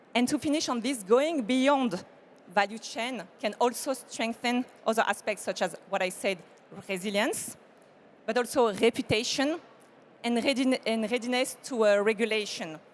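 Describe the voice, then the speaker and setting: A woman's fairly high voice with a French accent. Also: ordinary pitch variation, moderate pace. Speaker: corporate sustainability expert. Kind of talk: panel discussion.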